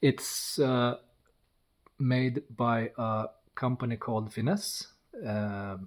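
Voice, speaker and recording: In a very clean recording with a silent background, a man speaks with a dark, mellow tone at medium pitch and a non-native accent. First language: not English. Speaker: car builder, YouTuber. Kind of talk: casual walkthrough of a project car. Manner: halting, with hesitations.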